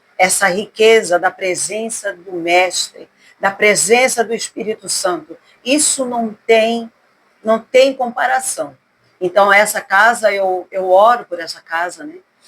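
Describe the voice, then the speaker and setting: Very slowly, a woman speaks at a fairly high pitch with ordinary pitch variation and big swings in loudness. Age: 60s. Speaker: gospel singer. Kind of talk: casual interview. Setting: at her home.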